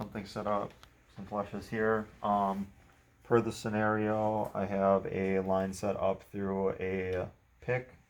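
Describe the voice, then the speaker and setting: A man's fairly low voice, monotone and flat, at a fairly slow pace. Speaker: nursing student. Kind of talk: skills demonstration with role-play. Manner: loud.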